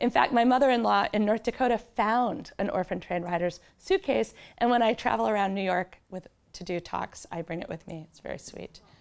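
A woman speaks with vocal fry and big swings in loudness. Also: medium pitch for a woman, ordinary pitch variation, fairly quick pace. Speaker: novelist. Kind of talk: author talk with slides. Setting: library event with audience.

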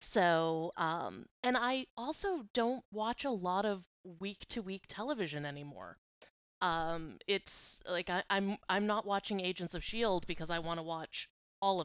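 A woman with an American accent speaks in a normal speaking voice at medium pitch, with lively intonation and a moderate pace, in a dry, close sound with no echo on a very clean recording with a silent background. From Boston. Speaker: guest, TV fan. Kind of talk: casual chat.

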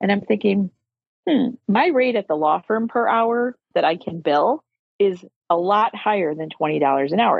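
In a normal speaking voice, a woman talks at medium pitch. She moves at a fairly slow pace with lively intonation. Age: 50s. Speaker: lawyer and law firm owner. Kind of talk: casual interview chat.

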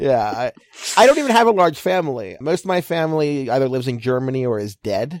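Mumbling at a very fast pace, a man with a fairly high voice swings very widely in pitch. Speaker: baseball writer. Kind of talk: casual interview chat. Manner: fast, mumbling, excitable.

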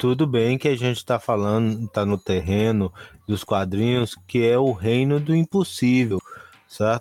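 With an unremarkable speaking voice, a man talks at a fairly slow pace and medium pitch, his loudness very even and the sound dry and close with no echo. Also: ordinary pitch variation. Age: 40s. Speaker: podcast co-host. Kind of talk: casual chat.

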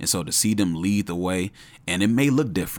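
The speaker is a man with an American accent. He talks at a fairly quick pace. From Chicago. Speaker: youth ministry director. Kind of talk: casual chat. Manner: halting, many fillers.

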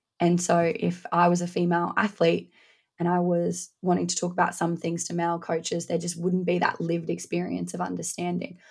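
A woman speaks in an Australian accent, moving at a fairly quick pace. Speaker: strength and conditioning coach. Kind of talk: interview.

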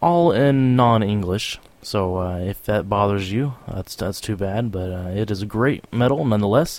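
A man's fairly low voice, enthusiastic in tone with lively intonation, at a moderate pace, in a very clean recording with a silent background. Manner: chatty and rambling, warmly informal, chuckles between track intros.

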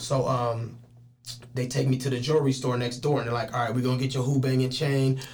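A man speaks at a fairly quick pace with monotone, flat intonation and a medium pitch. Noticeable background noise and audible room echo fill the recording. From Richmond, California (Bay Area). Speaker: PE teacher and rapper. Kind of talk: casual chat. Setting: studio.

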